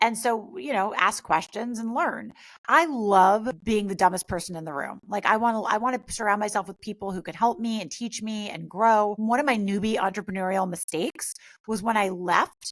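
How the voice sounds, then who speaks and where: A woman with an American accent and an unremarkable speaking voice talks at a moderate pace and fairly high pitch. Her intonation is lively, on a very clean recording with a silent background. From US Northeast (Westchester NY, Greenwich CT). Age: 40s. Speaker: mindset coach and influencer. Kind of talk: interview.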